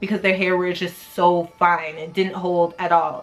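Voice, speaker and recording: A woman with a plain, everyday voice. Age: 20s. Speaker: hair vlogger. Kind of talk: casual talk to camera.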